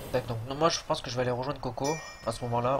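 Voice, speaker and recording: A man with a medium-pitched voice speaks while noticeable background noise carries on behind him. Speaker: gaming youtuber. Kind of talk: gameplay tutorial commentary. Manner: casual, hesitant with fillers.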